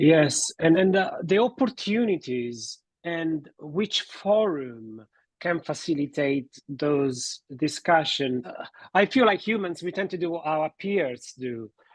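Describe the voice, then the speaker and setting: A man's fairly high voice at a very slow pace, lively in intonation, against a quiet background. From Italy. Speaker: relationship therapist and podcast host. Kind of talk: podcast interview.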